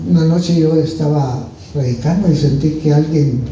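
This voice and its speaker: With audible room echo and noticeable background noise, a man talks at a fairly high pitch, his pitch varying in an ordinary way. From Guatemala. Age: 70s. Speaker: visiting preacher. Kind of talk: testimony. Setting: church.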